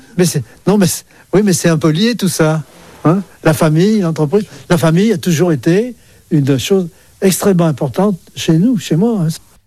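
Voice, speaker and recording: Pitched high with lively intonation, a man speaks in a dark, mellow tone at a moderate pace, with long, frequent pauses. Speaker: retired business owner. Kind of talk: interview testimony. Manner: halting.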